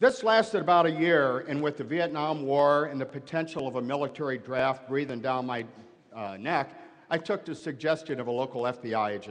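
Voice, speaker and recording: This man's pitch is fairly high, with ordinary variation. He talks at a fairly quick pace. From US Midwest, Granite City, Illinois. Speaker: former FBI hostage negotiator. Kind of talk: commencement speech. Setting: stage with audience.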